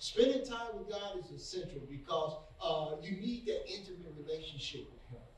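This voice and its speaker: Over noticeable background noise, a man with a high pitch talks at a moderate pace, his intonation lively and his loudness swinging widely. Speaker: preacher. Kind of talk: sermon. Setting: online video message, church. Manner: earnest, encouraging, exhortative; repetitive, stumbling on words.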